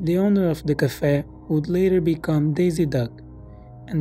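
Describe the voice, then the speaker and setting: Music can be heard in the background. The talking goes at a moderate pace. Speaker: storyteller. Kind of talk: horror story reading.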